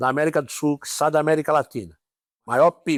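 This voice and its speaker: A man speaks at a moderate pace in a normal speaking voice, fairly high-pitched, with a dry, close sound and no echo. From São Paulo city, Brazil. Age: 60s. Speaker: police ombudsman. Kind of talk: interview.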